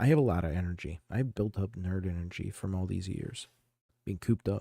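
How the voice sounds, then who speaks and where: Soft-spoken and very deep in pitch, a man talks at a fairly quick pace in a dark, mellow tone with ordinary pitch variation, on a very clean recording with a silent background and a dry, close sound with no echo. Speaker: game streamer. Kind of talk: casual live stream chat. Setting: home live stream. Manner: soft-spoken, keeping it down; casual, halting with restarts.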